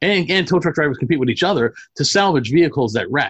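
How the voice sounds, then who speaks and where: A man speaks in a plain, everyday voice with lively intonation. His pace is fairly quick against a quiet background. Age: 40s. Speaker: movie podcast host. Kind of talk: casual chat.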